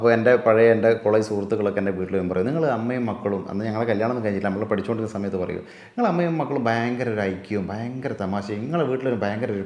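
The man's pitch is fairly low. Room echo is audible, and background noise is noticeable. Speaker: video creator and actor. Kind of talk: interview.

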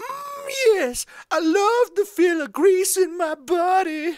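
Speaking fairly slowly, the cartoonish character voice reaches an extremely high pitch. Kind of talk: animated cartoon character voice. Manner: sassy.

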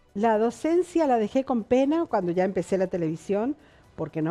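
A woman's fairly quick speech with lively intonation, faint music in the background. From Argentina, San Juan (Caucete); San Juan, Argentina. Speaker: veteran television journalist; interviewee, TV presenter. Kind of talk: interview. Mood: reflective, calm. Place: studio.

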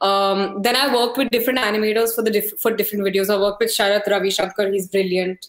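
A woman's monotone, flat delivery at a very fast pace, hardly any pauses, very even loudness, audible room echo over a quiet background. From India. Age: 20s. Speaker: musician and producer; interviewee. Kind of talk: casual interview chat. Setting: video call. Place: home room.

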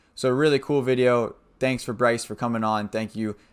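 Over a quiet background, the delivery is monotone and flat at a fairly quick pace. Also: man. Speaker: streamer, host. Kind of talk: casual vlog intro. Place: home room.

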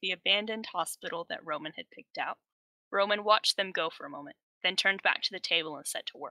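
The background is quiet as an unforced reading voice moves through ordinary pitch variation.

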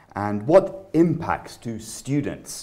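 A man speaking very slowly against a quiet background. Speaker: IELTS speaking examiner. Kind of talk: exam interview questions. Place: office. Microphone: camera far.

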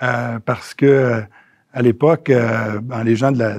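The intonation stays fairly even. A man talks against a quiet background. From Quebec City area, Quebec; Quebec. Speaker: geriatrician and former health minister; former health minister. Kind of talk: interview. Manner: halting, many hesitations. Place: office. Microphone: lapel.

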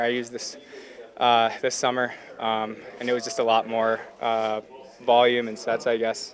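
A man talks with fairly even intonation over light background noise. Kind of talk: interview answer. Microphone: handheld.

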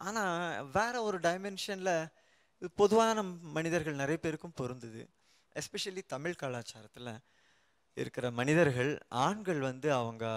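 A man with fairly high pitch and lively intonation against a quiet background. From Chennai; India. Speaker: researcher in English literature; guest. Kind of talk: panel discussion. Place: studio. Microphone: handheld.

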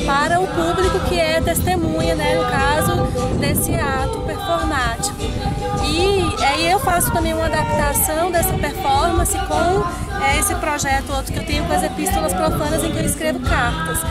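Loud music plays in the background while a woman talks at a moderate pace. The sound is dry, with no echo. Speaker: performance artist and poet, doctoral researcher. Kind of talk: interview answer. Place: open country.

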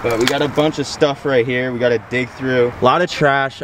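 A man talks at a moderate pace over light background noise, the sound dry with no echo. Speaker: outdoor fishing vlogger. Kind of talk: casual vlog chat. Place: waterside. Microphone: phone near.

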